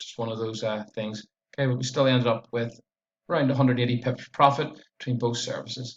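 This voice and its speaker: Here a man speaks very fast at a medium pitch. His voice is somewhat breathy and his intonation monotone and flat. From Northern Ireland, Belfast area. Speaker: forex trader. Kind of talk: trading performance review tutorial. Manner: casual, hesitant with many uhs.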